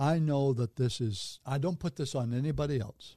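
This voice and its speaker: A man speaks at a moderate pace and medium pitch, his dark, mellow voice somewhat breathy with ordinary pitch variation. The sound is dry and close with no echo, over a quiet background. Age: 80s. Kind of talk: casual interview.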